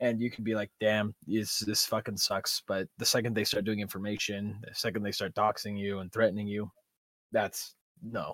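In a very clean recording with a silent background and a dry, close sound with no echo, a man speaks at a moderate pace with a fairly low pitch and flat, monotone intonation. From Guam. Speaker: podcast co-host and video creator. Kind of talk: casual chat.

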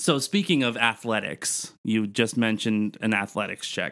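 A man's normal speaking voice at a medium pitch with ordinary pitch variation. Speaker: podcast co-host. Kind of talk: casual chat about D&D, with a mock street-vendor pitch. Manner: playful, sing-song hawker call, repeating 'step right up'; laughs often, filler-heavy.

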